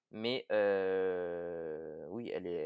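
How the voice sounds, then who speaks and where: The man's voice comes through a very clean recording with a silent background and a dry, close sound with no echo. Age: 20s. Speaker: firefighter and CrossFit athlete. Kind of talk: podcast interview. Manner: hesitant, many fillers.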